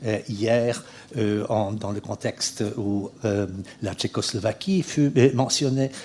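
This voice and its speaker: Delivered at a very slow pace, the voice has a dark, mellow tone and ordinary pitch variation. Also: man, medium pitch for a man. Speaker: historian. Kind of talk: lecture. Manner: halting, many hesitations.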